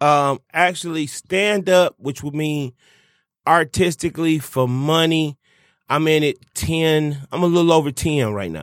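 In a very clean recording with a silent background and a dry, close sound with no echo, a man speaks with an animated tone at a fairly slow pace, his fairly high pitch showing ordinary variation. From Detroit, US. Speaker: stand-up comedian. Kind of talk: casual chat.

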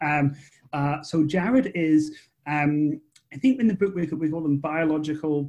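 Fairly high in pitch, a man speaks with an Edinburgh accent. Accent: Scottish (Edinburgh). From Scotland, Edinburgh. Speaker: author and screenwriter. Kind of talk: interview. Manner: halting, repeats words.

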